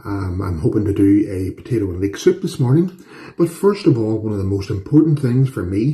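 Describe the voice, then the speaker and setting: Very wide pitch swings run through speech with an Irish accent. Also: man. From Northern Ireland. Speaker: home cooking youtuber. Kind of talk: cooking tutorial. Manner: casual, chatty with fillers.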